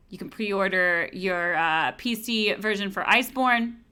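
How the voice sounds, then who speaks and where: A woman's mumbling at a fairly slow pace, bright and sharp in tone, on a very clean recording with a silent background. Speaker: livestream host. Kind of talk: promotional sales pitch. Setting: livestream.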